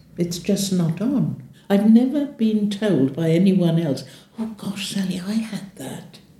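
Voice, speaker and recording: A woman with a British accent, fairly slow and lively in intonation. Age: 80s+. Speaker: leg ulcer patient. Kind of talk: testimony.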